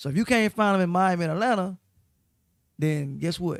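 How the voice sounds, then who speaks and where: Loud and high-pitched, a man talks at a fairly quick pace. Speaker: radio host. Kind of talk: casual chat.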